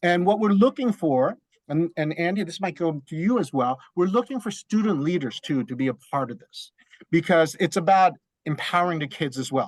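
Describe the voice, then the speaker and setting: Lively intonation carries a moderate pace in a dry, close sound with no echo. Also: man, high pitch for a man. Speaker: school district program coordinator. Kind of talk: presentation on video call. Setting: video call.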